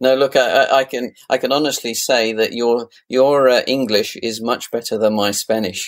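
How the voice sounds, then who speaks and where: A man with a British accent at medium pitch, monotone, flat intonation and hardly any pauses. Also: moderate pace. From UK. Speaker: podcast interviewer. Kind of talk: interview. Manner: hesitant, many fillers.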